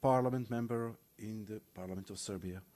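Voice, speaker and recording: A man with a Macedonian accent, dark, mellow tone, ordinary pitch variation and moderate pace, in a very clean recording with a silent background. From North Macedonia. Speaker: panel moderator. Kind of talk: conference panel introduction. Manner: formal.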